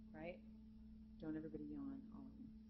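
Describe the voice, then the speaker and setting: A woman talks at a moderate pace. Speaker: jazz vocalist and voice teacher. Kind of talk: masterclass lecture to students. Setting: conference center with live student audience. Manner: animated.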